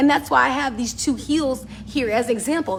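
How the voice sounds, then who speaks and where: A woman speaks loudly in a high voice, her tone animated and her intonation lively. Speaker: business and style advice vlogger. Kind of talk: casual talk to camera.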